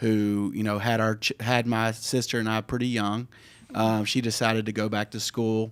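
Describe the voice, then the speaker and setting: A man with an American accent speaks at a medium pitch and moderate pace in a monotone, flat delivery. The recording is very clean with a silent background. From US South, Memphis, Tennessee. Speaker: university athletic director. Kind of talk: radio talk show interview. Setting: studio.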